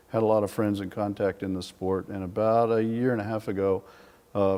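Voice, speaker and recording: Delivered with an American accent, the speech moves at a fairly quick pace in a monotone, flat intonation. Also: man. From US Midwest, west central Illinois. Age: 60s. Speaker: vintage racing historian. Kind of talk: interview. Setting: museum.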